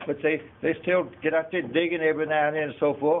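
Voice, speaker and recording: A man with an American accent talks at a fairly high pitch. His pace is fairly quick and his intonation is monotone and flat. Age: 80s+. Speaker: property owner. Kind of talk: public meeting comment. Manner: halting.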